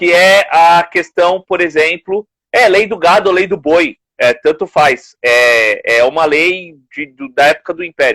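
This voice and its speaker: A man speaks with a high pitch and a bright, sharp tone, using ordinary pitch variation at a fairly slow pace. There are hardly any pauses, and the sound is dry and close with no echo. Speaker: podcast co-host. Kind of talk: casual live-stream discussion. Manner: soft-spoken.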